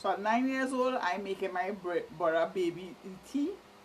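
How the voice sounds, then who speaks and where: In a Trinidadian accent, a woman speaks at a medium pitch with ordinary pitch variation. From Trinidad and Tobago, Port of Spain. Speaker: vlogger. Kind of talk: casual monologue.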